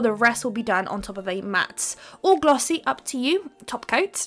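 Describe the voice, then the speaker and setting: Over music in the background, a speaker with a British accent talks in an upbeat tone with lively intonation. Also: woman. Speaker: nail art youtuber. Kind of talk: tutorial voiceover. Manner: fast; chatty, upbeat.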